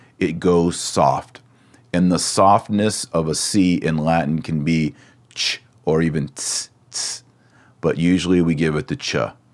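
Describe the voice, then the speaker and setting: Very deep and low in pitch, a man with an American accent speaks at a very slow pace. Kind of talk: lecture. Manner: instructional, deliberate.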